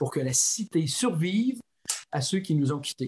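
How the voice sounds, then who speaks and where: A man's high-pitched voice with very wide pitch swings, dry and close with no echo. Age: 60s. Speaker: philosophy professor and author. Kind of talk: interview. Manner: halting.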